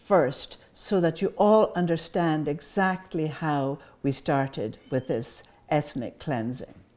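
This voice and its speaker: Very slowly, a woman speaks in a dark, mellow tone with lively intonation. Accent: Scottish Highlands and Islands. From Scotland, Isle of Skye. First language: Scottish Gaelic. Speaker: Gaelic teacher and cultural speaker. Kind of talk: public talk.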